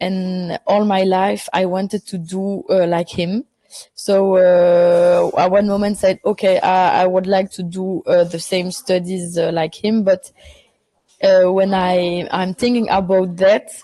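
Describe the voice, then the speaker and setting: A woman's medium-pitched voice, dark and mellow in tone, with monotone, flat intonation at a fairly slow pace. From Belgium, Brussels. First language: French. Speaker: film director. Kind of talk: interview. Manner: halting, many fillers.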